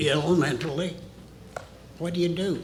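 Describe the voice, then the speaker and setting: A man with an American accent and a fairly high pitch is heard amid noticeable background noise and audible room echo. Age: 80s+. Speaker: retired military officer, witness. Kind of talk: testimony.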